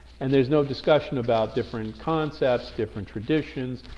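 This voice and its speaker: With a Brooklyn accent, a man talks at a moderate pace in a medium pitch. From US Northeast, Brooklyn, New York. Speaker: teacher. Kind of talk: lecture. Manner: hesitant, many fillers and restarts.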